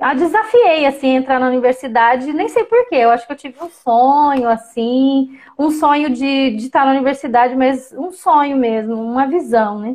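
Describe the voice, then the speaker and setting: With hardly any pauses and ordinary pitch variation, a woman speaks in a high voice. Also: moderate pace. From Brazil, Campo Grande, Mato Grosso do Sul. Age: 40s. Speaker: professor. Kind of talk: interview.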